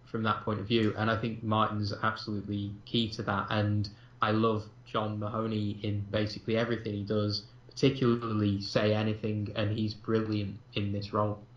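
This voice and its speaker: Somewhat breathy delivery at a moderate pace, monotone and flat in intonation, with a slight Manchester accent. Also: man, fairly low pitch for a man. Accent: slight Mancunian. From northern England, Manchester. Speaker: film podcast co-host. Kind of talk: casual chat. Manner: hesitant, many fillers.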